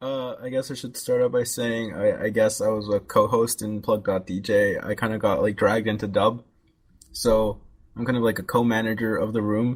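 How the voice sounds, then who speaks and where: Quiet and flat in a monotone, a man speaks at medium pitch. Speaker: podcast co-host and video editor. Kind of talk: casual chat. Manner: fast.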